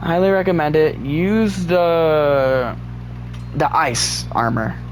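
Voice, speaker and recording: A man talks at a very slow pace. Audible room echo and noticeable background noise surround his voice. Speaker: gaming video creator. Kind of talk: tutorial. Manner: halting.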